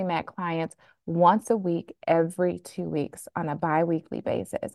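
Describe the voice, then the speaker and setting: In an American accent, a woman talks at a moderate pace with medium pitch in a normal speaking voice. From Flint, Michigan. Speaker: physician and money coach. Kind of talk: interview.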